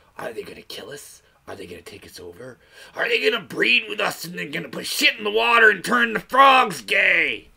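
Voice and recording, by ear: A man puts on a raspy character voice, high in pitch. He speaks at a fairly quick pace.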